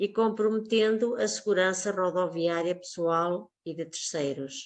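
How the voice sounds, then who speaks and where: A woman's plain, everyday voice, fairly low in pitch with ordinary pitch variation, at a fairly slow pace. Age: 60s. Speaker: teacher. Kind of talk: testimony. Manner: formal.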